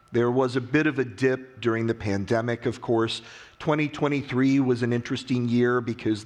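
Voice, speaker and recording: A plain, everyday voice with an American accent, moving at a fairly quick pace. The intonation stays fairly even, the loudness very even, over a quiet background. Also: man. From US, West Virginia. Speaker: industry analyst. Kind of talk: conference keynote. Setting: stage with audience.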